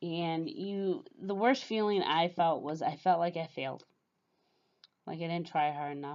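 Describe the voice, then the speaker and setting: Speaking at a fairly slow pace, a woman with a fairly low pitch and ordinary pitch variation has an unremarkable speaking voice. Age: 30s. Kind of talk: casual talk to camera.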